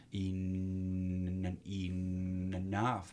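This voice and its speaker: His voice sits very deep and low. The speaker is male. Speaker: recovery coach. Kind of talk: podcast interview answer.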